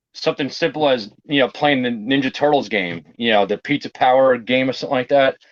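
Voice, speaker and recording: A man with a New York accent talks at a fairly quick pace and medium pitch, with ordinary pitch variation, very even loudness and hardly any pauses. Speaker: board game collector and YouTuber. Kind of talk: interview. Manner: casual, lots of fillers.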